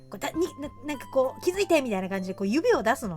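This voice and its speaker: A woman's very fast speech with very wide pitch swings and music in the background. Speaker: horror movie fan and video streamer. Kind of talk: casual Q&A chat to camera. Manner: casual, rambling, chatty.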